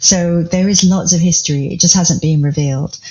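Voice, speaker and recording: A woman with a fairly low pitch speaks at a fairly quick pace and with fairly even intonation, with noticeable background noise. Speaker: community founder. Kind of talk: podcast interview answer.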